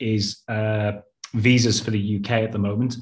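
Over a quiet background, a man at a medium pitch speaks in a somewhat breathy voice with monotone, flat intonation. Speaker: webinar moderator for education channel. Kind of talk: webinar moderation. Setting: video call. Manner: hesitant, many filler words.

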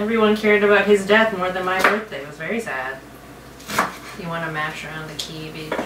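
The speech moves at a fairly quick pace against loud background noise. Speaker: guest. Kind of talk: casual cooking chat. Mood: relaxed, joking. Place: kitchen. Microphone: camera far.

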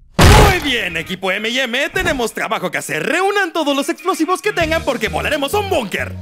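A man's cartoonish character voice in a Latin American accent, extremely high-pitched, bright and sharp, fairly quick, with big pitch swings and faint background music.

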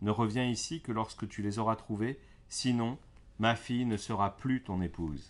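A man with an unremarkable speaking voice talks at a fairly slow pace. His pitch is medium, with ordinary pitch variation. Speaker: storyteller reading fairy tales aloud. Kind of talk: bedtime story narration, read aloud to children. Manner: gentle, soothing, calm storyteller pace.

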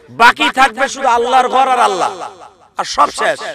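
Over light background noise, a man speaks in a raised, projected voice with an animated tone, the sound dry with no echo. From Bangladesh. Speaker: Islamic preacher. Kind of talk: sermon. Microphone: podium.

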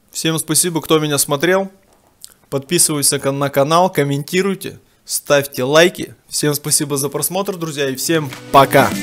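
Music plays in the background as a man speaks at a moderate pace. His intonation stays fairly even. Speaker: home food vlogger. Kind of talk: casual vlog chat. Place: home room. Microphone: phone near.

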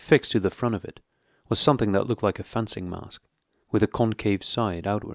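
The speaker is reading aloud in a natural voice. The background is quiet.

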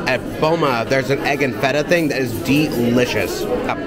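A man at a moderate pace with ordinary pitch variation, music playing in the background. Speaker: food vlogger. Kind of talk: casual vlog chat. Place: cafe. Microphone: phone near.

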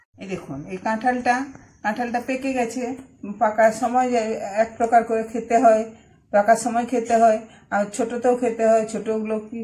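This woman has a dark, mellow tone. Her intonation stays monotone and flat. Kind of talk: casual vlog chat. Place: garden.

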